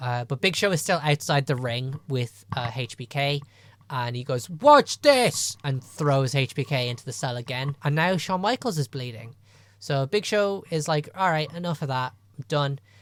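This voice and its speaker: A Dundee—no: An Irish accent at a moderate pace, on a very clean recording with a silent background. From Ireland. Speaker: wrestling podcast co-host. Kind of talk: casual podcast recap of a wrestling show.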